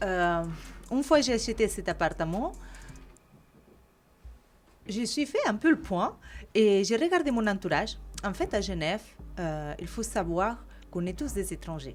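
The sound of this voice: A woman at a moderate pace, with lively intonation. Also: medium pitch for a woman.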